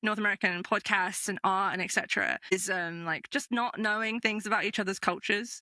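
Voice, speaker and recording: In a northern English accent, a woman at medium pitch speaks at a fairly quick pace with a dry, close sound and no echo. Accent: mild northern English. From northern England. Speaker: podcast game master. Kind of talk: casual interview chat.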